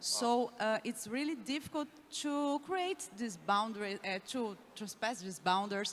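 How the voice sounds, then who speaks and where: A woman speaks at a high pitch with ordinary pitch variation. She keeps a fairly slow pace. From Brazil. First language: Portuguese. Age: young. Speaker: youth leader. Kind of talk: panel discussion.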